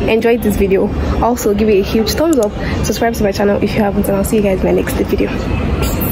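A fairly quick pace over music in the background. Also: woman. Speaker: vlogger. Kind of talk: casual vlog chat. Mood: cheerful, relaxed. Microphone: phone near.

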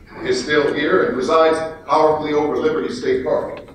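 In a room with strong echo and light background noise, a man talks at a moderate pace. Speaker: actor and voice actor. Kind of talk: inspirational keynote speech to an audience. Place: hall.

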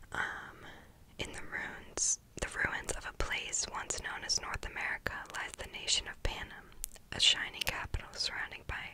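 Whispering, a woman speaks at a moderate pace. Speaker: ASMR creator. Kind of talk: reading a book's back cover aloud. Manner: whispered. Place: home room. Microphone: studio mic.

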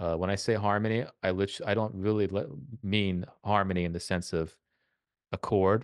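A man with an unremarkable speaking voice talks at a fairly quick pace and fairly low pitch. His intonation is fairly even, against a quiet background. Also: dry sound with no echo. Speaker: composition professor. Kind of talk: masterclass teaching. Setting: live video call. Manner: casual, repeats words often. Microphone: studio mic.

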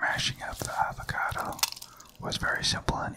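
Someone whispers at a fairly quick pace. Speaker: cooking channel host. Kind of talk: ASMR product review narration. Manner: whispered, soft-spoken. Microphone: studio mic.

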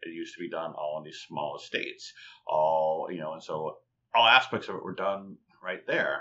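A man talks at a moderate pace. His loudness swings widely. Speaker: rum and cocktail writer, former software engineer; guest. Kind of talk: long-form interview. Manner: halting, many fillers and repetitions. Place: home room. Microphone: webcam.

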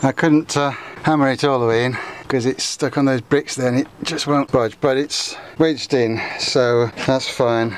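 With faint background noise behind him, a man speaks at a fairly slow pace in a medium pitch, keeping his intonation fairly even.

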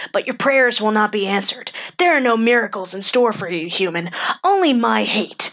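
A female-sounding voice, fairly high in pitch, performs a put-on character voice. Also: moderate pace. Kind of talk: character monologue. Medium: dub. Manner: angry, contemptuous.

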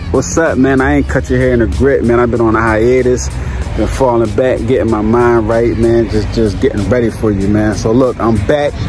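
Faint music plays in the background as a man talks at a moderate pace. The sound is dry, with no echo. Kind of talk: casual vlog chat. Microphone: phone near.

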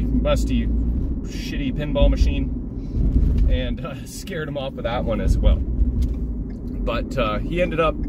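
Loud background noise surrounds a man whose voice sounds dry, without any echo. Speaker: pinball hobby vlogger. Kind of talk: casual vlog chat. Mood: relaxed, joking. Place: car. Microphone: phone near.

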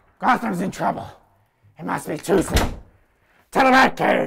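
A man at a moderate pace with a high-pitched voice. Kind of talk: comic overacting. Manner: cocky, self-hyping, exasperated.

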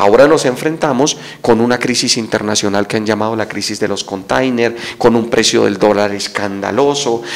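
A man's voice at a moderate pace, with fairly even intonation. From Colombia, Boyacá (Sogamoso); Boyacá, Colombia. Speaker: political candidate; candidate. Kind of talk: interview. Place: studio. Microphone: handheld.

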